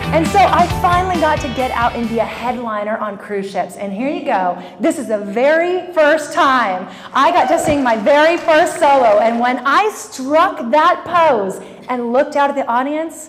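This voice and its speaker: Over noticeable background noise, a woman with a high pitch speaks at a moderate pace in an energetic tone, her pitch swinging very widely. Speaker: motivational keynote speaker. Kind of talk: live keynote speech to audience. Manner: highly energetic.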